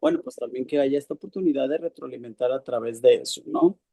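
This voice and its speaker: A man talks at a fairly quick pace in a fairly high voice with a dark, mellow tone, the sound dry and close with no echo. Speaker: course participant. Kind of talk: class discussion. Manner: halting.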